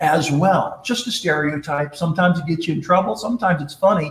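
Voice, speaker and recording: A man speaks loudly. His pitch is high. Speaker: leadership speaker and presenter. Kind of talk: live-streamed talk with storytelling. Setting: live stream broadcast. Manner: animated.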